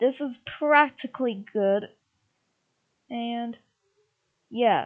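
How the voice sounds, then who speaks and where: This woman speaks in a fairly high pitch. Her pitch variation is ordinary. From Russia. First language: Russian. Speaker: YouTuber. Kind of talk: casual livestream talk. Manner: halting, many fillers.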